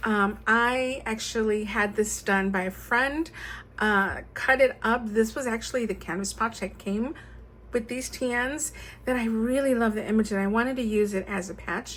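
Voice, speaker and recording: This woman has a plain, everyday voice with a fairly high pitch. She talks at a moderate pace with fairly even intonation. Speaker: stationery YouTuber. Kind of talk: show-and-tell tutorial. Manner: casual with many fillers.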